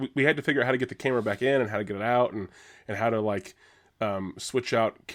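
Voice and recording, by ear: A natural voice reading aloud, pitch moving in an ordinary way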